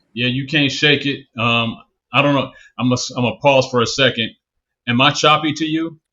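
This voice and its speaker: A man with a Southern US accent speaks at a moderate pace with fairly even intonation. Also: fairly high pitch for a man. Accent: Southern, picked up after moving. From California, Bay Area. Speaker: podcast host. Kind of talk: interview conversation. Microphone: choppy video connection.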